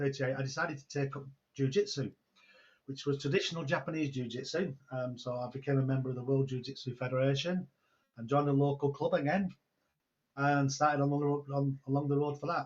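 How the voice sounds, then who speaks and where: A somewhat breathy man's voice, fairly high in pitch, at a very fast pace with fairly even intonation. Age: 60s. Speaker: online entrepreneur and mentor. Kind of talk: interview storytelling. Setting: video call.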